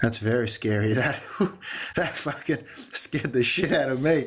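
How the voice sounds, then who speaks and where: A man's animated, medium-pitched voice with an Australian accent. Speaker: podcast host. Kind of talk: casual chat.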